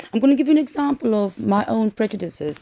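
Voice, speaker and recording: A woman with a non-native accent speaks at a fairly quick pace in a dark, mellow tone with very wide pitch swings. The recording is very clean, with a silent background and a dry, close sound with no echo. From South Africa. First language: not English. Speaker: social work lecturer. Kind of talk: lecture. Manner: halting, many fillers.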